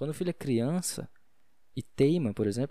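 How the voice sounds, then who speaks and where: Here a man speaks with lively intonation. His tone is dark and mellow. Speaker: podcaster. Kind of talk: casual solo monologue on faith. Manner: fast; halting.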